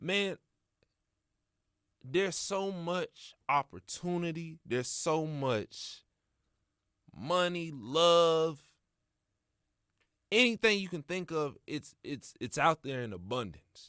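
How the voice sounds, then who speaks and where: At a very slow pace with long, frequent pauses, a man with an American accent and a high pitch uses lively intonation in a very clean recording with a silent background and a dry, close sound with no echo. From Kansas City, Missouri, then Texas. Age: 20s. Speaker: podcast host. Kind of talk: motivational monologue. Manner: casual, conversational.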